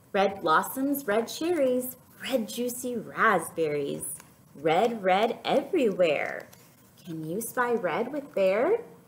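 A woman's voice at a very slow pace with very wide pitch swings. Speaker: teacher reading to children. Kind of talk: storytime read-aloud. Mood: warm, playful, expressive. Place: classroom. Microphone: webcam.

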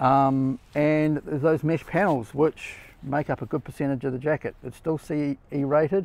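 Recorded with a dry sound and no echo, a man speaks with fairly even intonation. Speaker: motorcycle gear reviewer. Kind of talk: casual product review. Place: garden.

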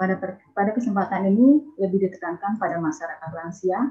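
Somewhat breathy, a woman talks at a very fast pace with ordinary pitch variation over a quiet background. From Indonesia. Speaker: university dean; webinar presenter. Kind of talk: webinar presentation. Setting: video call. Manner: formal. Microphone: video call.

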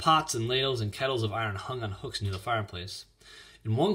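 With ordinary pitch variation, the speaker reads in an unforced voice.

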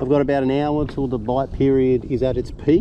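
There is light background noise around a man's voice. He speaks at a moderate pace, with a dry sound and no echo. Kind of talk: casual vlog chat. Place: boat. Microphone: camera far.

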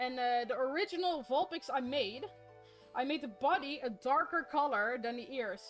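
Music plays in the background as the voice moves at a moderate pace. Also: woman. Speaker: craft streamer. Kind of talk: casual live stream chat while crafting. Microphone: studio mic.

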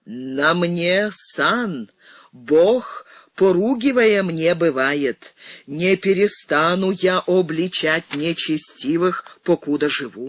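Putting on a character voice, a man projects a raised, resonant, high-pitched voice at a very slow pace. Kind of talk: church sermon. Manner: thundering, preaching, righteous.

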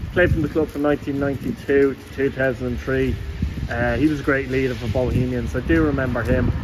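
A man speaks over noticeable background noise. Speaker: football fan vlogger. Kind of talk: casual vlog commentary. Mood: enthusiastic, admiring. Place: street. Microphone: phone near.

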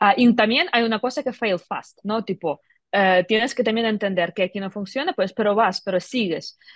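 A woman speaks at a moderate pace with fairly high pitch and ordinary pitch variation, her voice dry with no echo against a quiet background. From Ukraine, Kyiv. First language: Ukrainian or Russian (speaking Spanish). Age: 30s. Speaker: tech entrepreneur; guest. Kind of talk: interview. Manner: halting. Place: office. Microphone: video call.

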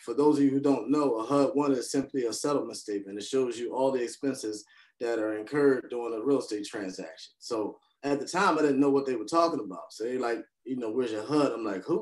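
A man talks at a very fast pace with ordinary pitch variation against a quiet background. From North Philadelphia; Philadelphia. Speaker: hard money lender and real estate investor; podcast guest. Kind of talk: interview. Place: home room. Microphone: video call.

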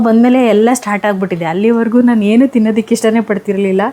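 A woman with a fairly high voice is heard over noticeable background noise. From Karnataka, Davanagere. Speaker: lifestyle vlogger. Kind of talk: casual vlog chat. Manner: animated.

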